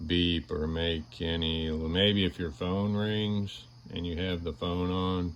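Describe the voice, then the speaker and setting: At a very slow pace, a man talks with fairly even intonation. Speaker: product reviewer. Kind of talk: product review. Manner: casual, hesitant.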